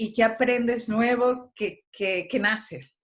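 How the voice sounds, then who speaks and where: Over a quiet background, a woman speaks at a very slow pace. Her pitch is fairly high. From Mexico. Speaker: playwright and actress. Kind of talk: interview.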